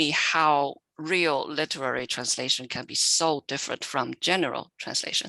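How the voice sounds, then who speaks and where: Against a quiet background, a woman with a very deep, low pitch speaks at a fairly slow pace in a bright, sharp tone, with ordinary pitch variation and a dry, close sound with no echo. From China. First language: Chinese. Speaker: literary translator. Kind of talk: panel Q&A answer.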